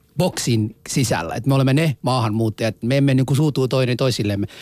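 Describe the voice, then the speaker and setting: A man with a non-native accent talks at a very fast pace at a medium pitch with ordinary pitch variation. The recording is very clean, with a silent background. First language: not Finnish (speaking Finnish). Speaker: radio host. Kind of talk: casual chat.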